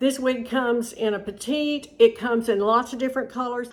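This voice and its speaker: With a raised, projected voice, a woman speaks at a high pitch and moderate pace in a bright, sharp tone, recorded very cleanly over a silent background. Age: 60s. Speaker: wig stylist and reviewer. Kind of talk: tutorial. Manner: animated.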